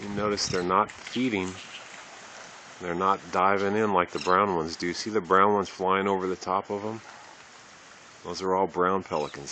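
Over light background noise, a man with a very deep, low pitch speaks in a monotone, flat intonation with long, frequent pauses, the sound dry with no echo. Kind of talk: casual narration. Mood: calm, interested. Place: waterside. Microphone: phone near.

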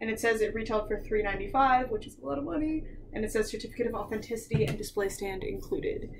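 Over noticeable background noise, a woman talks at a very fast pace with vocal fry and lively intonation. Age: 20s. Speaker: YouTuber, doll collector; YouTuber. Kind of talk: unboxing review. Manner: casual, laughing often. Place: home room. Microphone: webcam.

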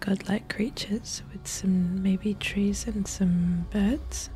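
Soft-spoken and whispering, the voice moves at a very slow pace with music in the background. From Australia. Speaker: civil marriage celebrant and gamer; gamer. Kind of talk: quiet gameplay commentary for sleep. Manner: quiet, soft-spoken, whispering.

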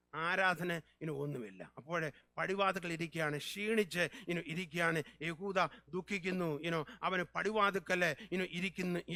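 Bright and sharp in tone, this man's voice sits high in pitch. His intonation stays fairly even. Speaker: pastor. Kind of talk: sermon. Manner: fervent, repeated hallelujahs.

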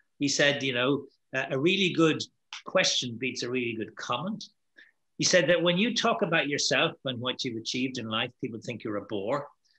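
With an Irish accent, a man talks at a moderate pace in a medium-pitched voice with a bright, sharp tone. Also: lively intonation, quiet background. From Ireland. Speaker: networking keynote speaker; keynote speaker. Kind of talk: panel Q&A discussion. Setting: video call. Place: home room. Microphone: webcam.

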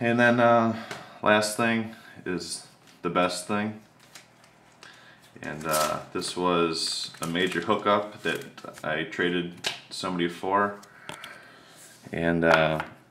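A man with a very deep, low pitch talks at a very slow pace, leaving long, frequent pauses. His pitch varies ordinarily over noticeable background noise. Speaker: autograph collector vlogger. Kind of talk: casual video recap. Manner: hesitant, many fillers. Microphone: phone near.

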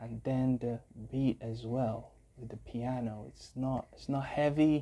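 At a very slow pace, a man speaks in a dark, mellow tone. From Africa. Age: young. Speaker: YouTube music reactor and musician; YouTube music reactor. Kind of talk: reaction video commentary. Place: home room. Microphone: earbuds.

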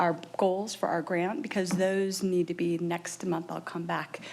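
A woman's medium-pitched voice at a moderate pace, with noticeable background noise. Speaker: early childhood program staff presenter. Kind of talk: presentation at school board meeting. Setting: boardroom meeting. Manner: loud; many filler ums, halting.

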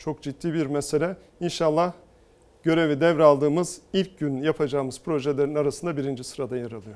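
A man with a normal speaking voice, fairly high pitch and ordinary pitch variation, on a very clean recording with a silent background. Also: fairly quick pace. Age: 40s. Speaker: politician, mayoral candidate. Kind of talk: TV interview.

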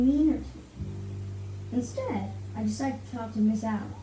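What is heard here is plain reading aloud.

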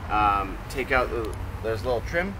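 Man's voice over noticeable background noise. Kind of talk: casual vlog walkaround tutorial. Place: garden.

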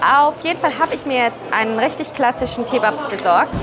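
Clear music plays in the background as a woman talks. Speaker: food vlogger. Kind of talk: casual vlog chat. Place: cafe. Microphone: lapel.

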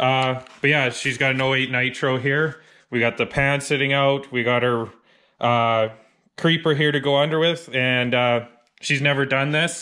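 The background is quiet as a man speaks. His pace is moderate and his intonation monotone and flat. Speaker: car DIY vlogger. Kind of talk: casual vlog chat. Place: garage. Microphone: phone near.

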